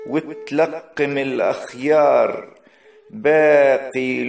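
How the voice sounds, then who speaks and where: A man talks at a very slow pace. Music sounds behind him. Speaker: poet and reciter. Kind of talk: poetry reading.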